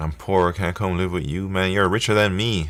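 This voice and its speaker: A man with a Jamaican accent speaks at a fairly quick pace with a very deep, low pitch and a relaxed tone. The recording is very clean, with a silent background. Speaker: coding livestreamer. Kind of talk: casual livestream chat while coding. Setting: live stream. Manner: relaxed, conversational.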